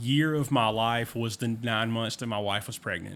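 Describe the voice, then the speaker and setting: At a fairly slow pace, a man speaks in a Southern US accent with ordinary pitch variation. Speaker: podcast host. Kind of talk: casual chat.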